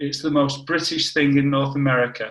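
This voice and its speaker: With a northern English accent, a man speaks in a fairly high pitch. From northern England, Warrington. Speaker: scientist. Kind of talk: casual interview.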